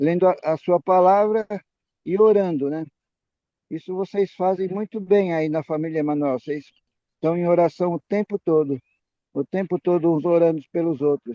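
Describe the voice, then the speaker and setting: Dark and mellow in tone, the voice has ordinary pitch variation and a dry, close sound with no echo. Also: man. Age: 70s. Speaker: physician lecturer at a Bible study. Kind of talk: health and religious talk to a group. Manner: halting, with frequent repetitions and self-corrections.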